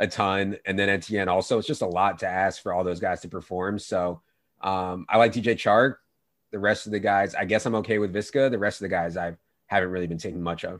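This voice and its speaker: A plain, everyday voice, a man with an American accent, fairly low pitch, fairly quick pace, fairly even intonation, quiet background. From Virginia. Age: 30s. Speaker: fantasy sports analyst. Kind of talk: casual chat.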